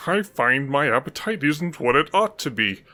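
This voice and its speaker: A man puts on a rumbling character voice with very wide pitch swings at a moderate pace, on a very clean recording with a silent background. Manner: musing, pondering aloud.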